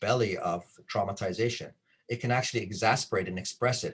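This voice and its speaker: A man speaks at a fairly quick pace in a medium pitch. His voice is somewhat breathy, with lively intonation. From Canada. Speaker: trauma-informed care trainer. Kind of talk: conference presentation.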